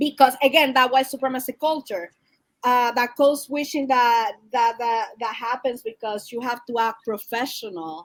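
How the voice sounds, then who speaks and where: Loud and high-pitched, a woman speaks at a moderate pace. Her pitch varies in an ordinary way. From Dominican Republic. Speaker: behavioral health specialist. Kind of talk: interview discussion.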